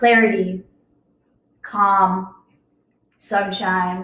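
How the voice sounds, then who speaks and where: A woman speaks loudly. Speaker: yoga teacher. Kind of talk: guided yoga class.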